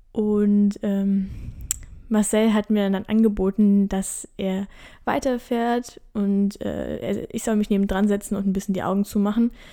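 A woman's dark, mellow voice at medium pitch, flat and monotone, at a fairly slow pace. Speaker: midwife and podcast host. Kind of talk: solo podcast monologue. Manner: calm.

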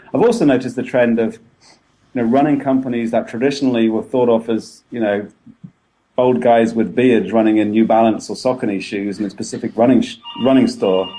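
A man speaks at a medium pitch with an English accent. His tone is dark and mellow, his pace fairly quick, and his pitch varies in an ordinary way. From England. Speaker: running blogger. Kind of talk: casual interview. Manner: halting.

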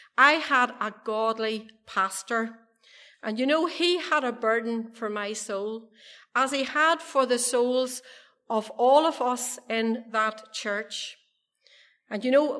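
In a Monaghan accent, a woman speaks very slowly in a high pitch with a bright, sharp tone and ordinary pitch variation. The recording is very clean, with a silent background. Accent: Irish (Ulster border, Monaghan). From Ireland, County Monaghan. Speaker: evangelist giving testimony. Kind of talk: testimony. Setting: church meeting with audience.

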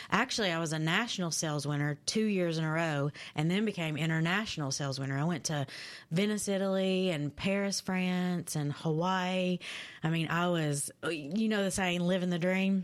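A woman with a Kentucky accent, fairly low in pitch with ordinary pitch variation, at a moderate pace and very even loudness. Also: very clean recording, silent background. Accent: Kentucky Southern American. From London, Kentucky (rural eastern Kentucky). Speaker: recovering addict and second-chance advocate. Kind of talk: interview testimony.

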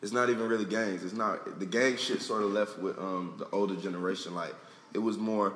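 A man with an American accent speaks in a normal speaking voice, fairly low in pitch, at a fairly quick pace. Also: fairly even intonation. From South Florida. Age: 20s. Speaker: rapper. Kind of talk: casual interview.

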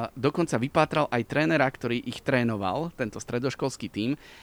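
With an unremarkable speaking voice, a man talks at a fairly quick pace with lively intonation and fairly high pitch, in a dry, close sound with no echo. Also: very clean recording, silent background. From Slovakia, Liptov region. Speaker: radio sports presenter. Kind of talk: casual interview. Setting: outdoors in a park.

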